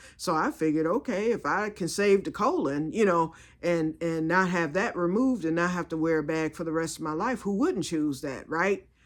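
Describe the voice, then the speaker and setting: The voice is animated, with hardly any pauses. The recording is very clean, with a silent background. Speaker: health vlogger. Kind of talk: casual chat. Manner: fast.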